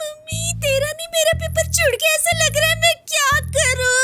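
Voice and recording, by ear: A female-sounding put-on character voice at an extremely high pitch moves at a moderate pace over faint music in the background.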